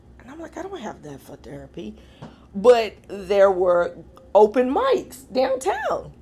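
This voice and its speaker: Over noticeable background noise, a woman speaks in an animated tone at a fairly slow pace, with big swings in loudness. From Kentucky, Louisville. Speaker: comedian. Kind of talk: casual interview chat. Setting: studio.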